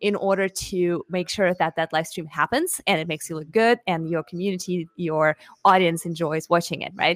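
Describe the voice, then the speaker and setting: Speaking with a Russian accent, a woman uses a fairly low pitch and fairly even intonation at a moderate pace, in a very clean, dry, close recording with a silent background and no echo. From Russia (Moscow). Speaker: marketing lead for a streaming platform. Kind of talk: interview.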